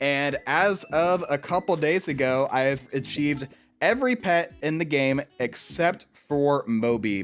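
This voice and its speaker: There is music in the background as a man speaks with a slight Southern US accent. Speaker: gaming YouTuber. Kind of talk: gameplay commentary. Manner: casual, conversational with frequent fillers.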